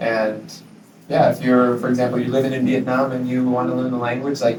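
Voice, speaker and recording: Noticeable background noise sits behind a man who speaks with an American accent. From US Midwest, Minnesota. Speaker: English teacher living abroad. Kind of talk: interview. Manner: hesitant, many fillers.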